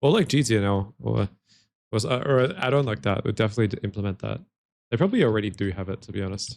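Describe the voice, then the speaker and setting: Vocal fry runs through very fast speech in an Australian accent that shows ordinary pitch variation. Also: man, fairly low pitch for a man. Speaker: gaming streamer. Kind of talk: live stream gameplay commentary. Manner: casual, repetitive stammering.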